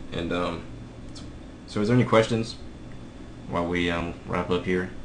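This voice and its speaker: Fairly even intonation from a man with a very deep, low pitch, plus audible echo in the room. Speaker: software instructor. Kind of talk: live webinar tutorial. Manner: fast.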